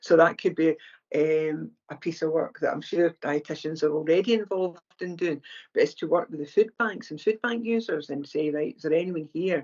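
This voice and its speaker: A woman speaks with a Scottish accent and a fairly low pitch. Her pace is moderate and her pitch variation ordinary. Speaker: charity founder, former mental health nurse. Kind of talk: podcast interview. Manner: conversational, with hesitations.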